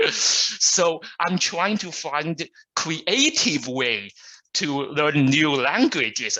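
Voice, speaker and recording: Very slow speech from a man in a Chinese accent, fairly high in pitch, with a bright, sharp tone and ordinary pitch variation. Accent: Mandarin Chinese accent in English. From China. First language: Mandarin. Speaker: Toastmasters club guest. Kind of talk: self-introduction at online club meeting. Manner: halting, many fillers.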